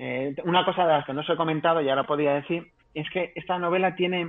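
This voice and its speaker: A fairly quick, unremarkable speaking voice with ordinary pitch variation. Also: man. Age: 30s. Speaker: novelist. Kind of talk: interview. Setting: live stream.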